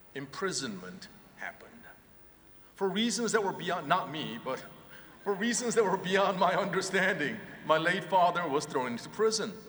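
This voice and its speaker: With a Korean accent and a high pitch, a man speaks at a moderate pace with ordinary pitch variation and long, frequent pauses, amid noticeable background noise and audible room echo. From South Korea, then California from age 15. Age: 50s. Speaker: professor. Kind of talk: commencement speech. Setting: arena stage with audience.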